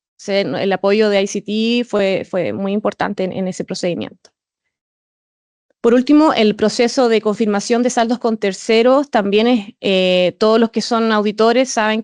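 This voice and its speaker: At a moderate pace, a woman speaks at medium pitch with fairly even intonation in a dry, close sound with no echo. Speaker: auditor. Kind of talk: presentation. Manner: halting with repetitions and fillers.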